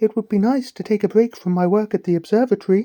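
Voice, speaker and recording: A man's put-on character voice, high-pitched, soft-spoken and breathy, with fairly even intonation and a very fast pace. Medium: read story. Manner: calm, serene.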